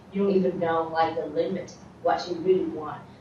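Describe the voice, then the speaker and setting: Clear background noise and audible room echo surround a woman talking with an American accent. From outside the US. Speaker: student. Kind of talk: class discussion.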